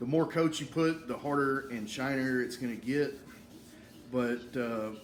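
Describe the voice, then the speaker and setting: A man's medium-pitched voice, fairly even in intonation, at a moderate pace. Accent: strong Southern US. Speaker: woodworking YouTuber. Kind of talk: tutorial. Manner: casual, halting with fillers.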